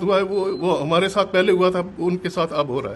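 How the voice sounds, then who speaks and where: High pitch and fairly even intonation in a man's voice. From Pakistani Punjab, Jhelum district. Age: 80s+. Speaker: partition survivor and businessman. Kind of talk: testimony. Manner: halting.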